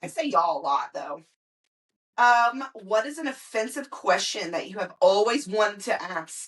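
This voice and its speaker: In an American accent, a woman with a fairly high pitch talks at a moderate pace, her voice making very wide pitch swings and big swings in loudness. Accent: Southern US accent when angry. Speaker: podcast host. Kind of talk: casual chat.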